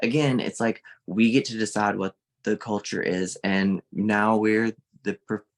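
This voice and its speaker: Recorded with a dry, close sound with no echo and a quiet background, a man with a Southern US accent talks in a fairly low pitch. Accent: Southern US, mild. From Mississippi, US South. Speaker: social media creator and art teacher. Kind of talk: casual interview chat. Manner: animated.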